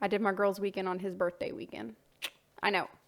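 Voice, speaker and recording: A woman's medium-pitched voice with an American accent, vocal fry and monotone, flat intonation. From US South. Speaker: voice-over narrator, artist's wife. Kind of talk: casual narration. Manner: chatty, with hesitations.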